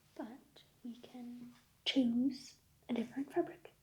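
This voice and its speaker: A woman speaks softly. Her pitch is high. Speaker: ASMR creator playing a tailor. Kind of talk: tailor roleplay addressing a customer. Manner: soft-spoken.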